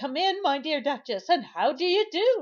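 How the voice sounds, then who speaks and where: In a put-on character voice, a woman speaks with a high pitch. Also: moderate pace. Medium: read story. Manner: prim, sensible.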